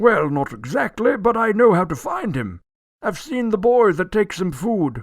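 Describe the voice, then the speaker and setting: A man puts on a character voice, high-pitched with very wide pitch swings, at a moderate pace. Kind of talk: old-fashioned theatrical radio acting. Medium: audio drama. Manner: pompous, blustering, quick to take offence.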